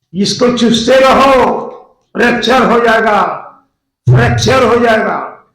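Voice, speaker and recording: Amid audible room echo, a man with an extremely high pitch speaks in a monotone, flat way, leaving long, frequent pauses. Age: 80s+. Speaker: pastor. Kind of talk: sermon.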